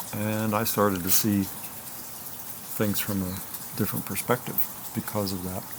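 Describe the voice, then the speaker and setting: Over noticeable background noise, a man with a fairly low pitch speaks at a moderate pace in a monotone, flat intonation. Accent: American. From Virginia, US South. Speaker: singer-songwriter. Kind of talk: casual chat.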